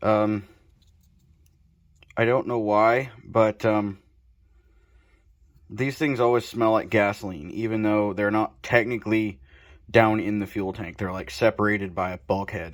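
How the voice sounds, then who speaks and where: A man with a fairly low pitch talks at a fairly slow pace with fairly even intonation and long, frequent pauses. The recording is very clean, with a silent background. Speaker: motorcycle mechanic. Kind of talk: repair tutorial. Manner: casual, filler-heavy (um, uh).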